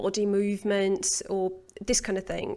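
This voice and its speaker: Over a quiet background, a woman speaks at a medium pitch and a fairly slow pace. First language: not English. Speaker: English pronunciation teacher. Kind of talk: interview questions.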